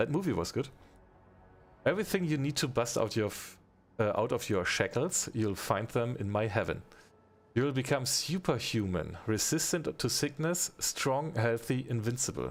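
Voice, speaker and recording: A man's medium-pitched voice with a non-native accent, lively intonation and a moderate pace, in a very clean recording with a silent background. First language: not English. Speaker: gaming streamer. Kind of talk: live game stream chat. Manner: halting.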